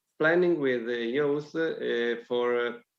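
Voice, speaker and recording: The man talks at a very slow pace with a medium pitch. His pitch varies in an ordinary way. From Italy. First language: Italian. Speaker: local councillor. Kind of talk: presentation. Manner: halting.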